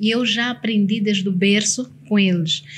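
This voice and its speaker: Over light background noise, a woman speaks in a somewhat breathy, fairly high voice with fairly even intonation. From Mozambique, Nampula; Mozambique. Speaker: motivational consultant and speaker; speaker. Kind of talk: casual interview chat. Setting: studio. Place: studio. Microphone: studio mic.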